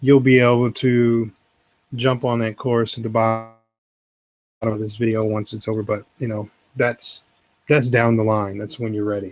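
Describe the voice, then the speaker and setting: Here a man speaks at a medium pitch and a moderate pace. His intonation stays flat and monotone, broken by long, frequent pauses. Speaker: web tutorial creator. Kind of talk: tutorial. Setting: live video stream. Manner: quiet, subdued.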